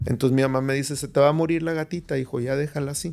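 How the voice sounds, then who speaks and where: The man talks at a fairly quick pace, with ordinary pitch variation. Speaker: psychiatrist. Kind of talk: podcast interview. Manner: animated storytelling.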